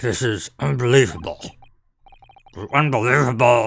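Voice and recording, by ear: Using a raspy put-on character voice, a man talks at a medium pitch and a moderate pace.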